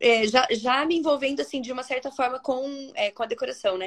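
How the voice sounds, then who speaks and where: Her pitch high and her intonation lively, a woman is speaking. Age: 40s. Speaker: entrepreneur, founder of a decor brand. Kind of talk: casual interview. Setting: live video stream.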